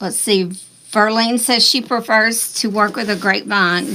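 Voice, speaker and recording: A woman's fairly high voice in a Southern US accent, fairly slow and fairly even in intonation, with noticeable background noise. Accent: Southern US accent, near Texas. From US South. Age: 60s. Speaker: craft tutorial host. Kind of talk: live-stream craft tutorial. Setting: live stream. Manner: casual, chatty.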